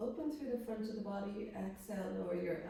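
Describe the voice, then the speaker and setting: A calm tone with ordinary pitch variation comes through audible room echo. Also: woman. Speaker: yoga teacher. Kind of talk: guided yoga class. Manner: slow.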